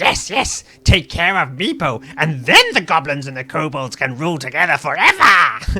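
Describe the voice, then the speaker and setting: Someone puts on a character voice at a middle pitch, barely pausing at all. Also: moderate pace. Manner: sly, conspiratorial.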